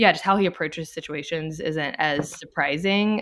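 A woman with a Louisiana accent speaks at a moderate pace, fairly low in pitch with ordinary pitch variation. The recording is very clean, with a silent background. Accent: Southern US (Louisiana). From Louisiana, Baton Rouge. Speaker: stay-at-home mom. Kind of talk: casual interview.

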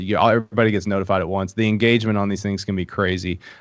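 A man with an Appalachian accent races along at a very fast pace, his pitch fairly low and his intonation fairly even. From Appalachia, eastern Kentucky. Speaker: founder of a hunting social app. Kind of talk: casual podcast interview.

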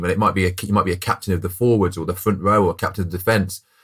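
With a West Midlands accent, a man talks at a very fast pace in a very deep, low pitch with ordinary pitch variation, in a very clean recording with a silent background. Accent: English Midlands (Coventry). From Coventry, English Midlands. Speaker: former professional rugby player, business co-founder. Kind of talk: interview conversation.

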